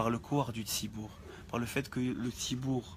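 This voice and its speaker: A man with a medium pitch sounds somewhat breathy, his intonation fairly even. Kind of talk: religious class. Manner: soft-spoken; halting.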